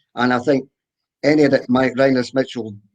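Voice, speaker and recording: A man speaks at a medium pitch with a Scottish accent. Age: 80s+. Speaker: accordionist. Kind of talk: interview. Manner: halting.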